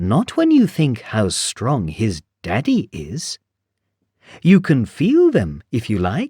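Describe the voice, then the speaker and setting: Using a put-on character voice at medium pitch, a man talks at a very slow pace on a very clean recording with a silent background. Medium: read story.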